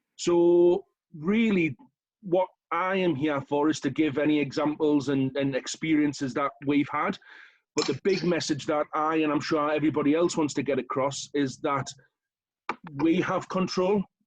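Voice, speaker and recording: With a northern English accent, a man talks at a moderate pace in a fairly high pitch, with fairly even intonation, very even loudness and a dry, close sound with no echo. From northern England, County Durham. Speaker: local councillor. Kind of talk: short talk at online event.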